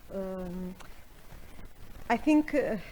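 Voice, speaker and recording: A woman with a non-native accent speaks at a medium pitch in a dark, mellow tone. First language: not English. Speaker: professor, panelist. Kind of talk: panel discussion. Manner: halting.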